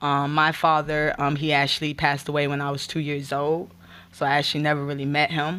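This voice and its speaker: A woman with an American accent, very deep and low pitch, monotone, flat intonation, a bright, sharp tone and a fairly quick pace, on a very clean recording with a silent background. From Gainesville/Alachua, Florida. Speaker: spoken word artist and nonprofit outreach director. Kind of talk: testimony.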